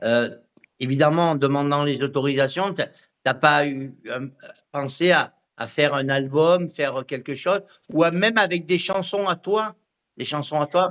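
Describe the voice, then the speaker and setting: With a fairly high pitch and ordinary pitch variation, a man talks at a fairly slow pace with long, frequent pauses. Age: 60s. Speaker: radio host. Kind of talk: radio interview. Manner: halting.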